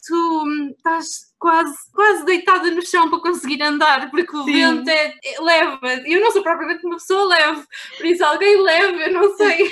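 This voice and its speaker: A woman with a European Portuguese accent projects a raised voice at an extremely high pitch, her intonation fairly even. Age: 20s. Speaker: travel blogger. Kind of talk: casual chat. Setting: remote call from home.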